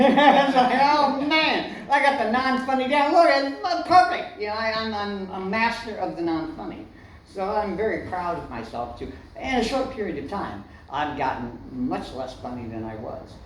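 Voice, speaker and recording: A man with a high pitch makes very wide pitch swings and big swings in loudness at a moderate pace. Noticeable background noise and audible room echo fill the recording. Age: 60s. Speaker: comedian. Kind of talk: stand-up; casual chat. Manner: halting.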